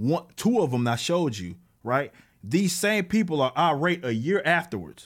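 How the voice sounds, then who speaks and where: An animated man speaks with an American accent at a moderate pace. His intonation is lively, and the background is quiet. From Texas. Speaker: political commentator and comic book creator; political commentator, comic book creator. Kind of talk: political rant monologue. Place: home room. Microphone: studio mic.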